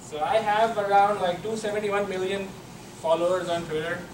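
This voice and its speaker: A man speaks fairly quickly, his pitch varying in an ordinary way, while noticeable background noise and audible room echo fill the recording. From Pakistan. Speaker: software engineer, conference speaker. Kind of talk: conference talk. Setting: stage with audience.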